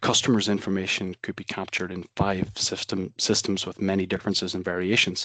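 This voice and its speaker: Speaking very fast in a Belfast accent, a man with a very deep, low pitch keeps a flat monotone, heard dry and close with no echo against a quiet background. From Northern Ireland, Belfast. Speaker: software company presenter. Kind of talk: webinar presentation. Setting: online webinar.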